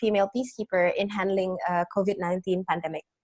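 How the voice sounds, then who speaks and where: A woman with an Indonesian accent, medium in pitch, in a monotone, flat intonation. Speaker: researcher. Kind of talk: webinar presentation. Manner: hesitant.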